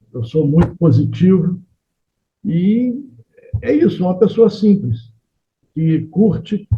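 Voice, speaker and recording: A man talks at a very slow pace with lively intonation. His voice is somewhat breathy. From Rio de Janeiro, Brazil. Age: 70s. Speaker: painter and engineer. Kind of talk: interview. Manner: halting.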